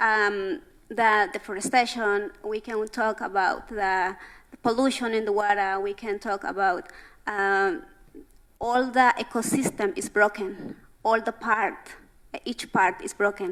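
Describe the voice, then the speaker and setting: A woman with a Spanish accent talks at a fairly slow pace. Her pitch is fairly high, with ordinary variation. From Central America. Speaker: youth delegate at climate conference. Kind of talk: panel discussion. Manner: halting.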